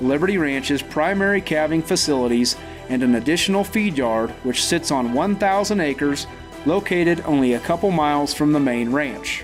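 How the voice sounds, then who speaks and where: Over music in the background, a man talks at a moderate pace in a fairly high pitch with lively intonation. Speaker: real estate agent. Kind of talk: property auction promo read.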